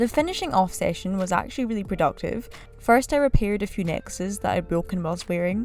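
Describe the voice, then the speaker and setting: Music plays in the background as a woman talks. Her pace is very fast and her intonation lively. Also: medium pitch for a woman. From United Kingdom. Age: 20s. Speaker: software developer. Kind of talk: vlog voiceover narration.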